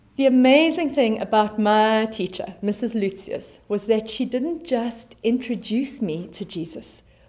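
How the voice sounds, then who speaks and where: A woman with a South African accent speaks at a fairly slow pace and a fairly high pitch, somewhat breathy, with lively intonation. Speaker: pastor. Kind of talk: sermon. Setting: online church service video. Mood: warm, encouraging. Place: studio.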